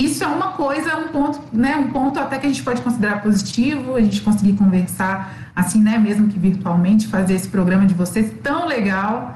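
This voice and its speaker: A woman with a fairly high voice talks at a fairly quick clip with hardly any pauses and very wide pitch swings, over noticeable background noise and audible room echo. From Minas Gerais, Belo Horizonte. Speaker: obstetrics student. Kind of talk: casual interview.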